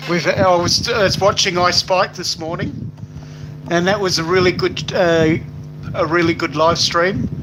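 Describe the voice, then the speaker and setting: Speaking at a fairly slow pace in an Australian accent, a man with a high pitch keeps fairly even intonation amid noticeable background noise. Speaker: YouTube live streamer. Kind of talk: casual live stream chat. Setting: live stream on a tablet. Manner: halting, many fillers.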